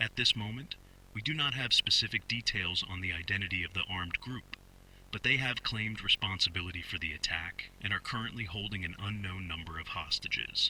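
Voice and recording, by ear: A put-on character voice with a bright, sharp tone. It moves at a fairly quick pace with ordinary pitch variation. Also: man, low pitch for a man.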